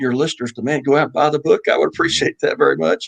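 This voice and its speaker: Recorded dry and close with no echo, a man talks in a Texas accent at a fairly high pitch. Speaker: judge and author. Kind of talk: radio interview.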